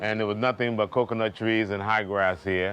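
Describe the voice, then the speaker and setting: A man's medium-pitched voice over background music. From US, New York. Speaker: hotel owner. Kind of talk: interview.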